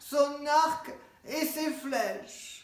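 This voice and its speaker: At a very slow pace, a man speaks in a raised, projected voice. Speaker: storyteller and actor. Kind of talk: narration.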